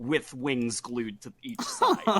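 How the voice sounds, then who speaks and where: Over noticeable background noise, a man talks at a fairly slow pace with very wide pitch swings in a dry, close sound with no echo. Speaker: gaming YouTuber. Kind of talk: casual chat. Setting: podcast recording.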